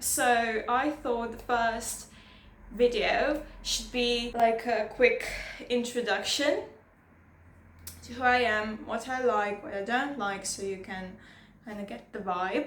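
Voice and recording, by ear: With a nervous tone and fairly even intonation, a woman speaks slowly at a fairly high pitch in a room with strong echo.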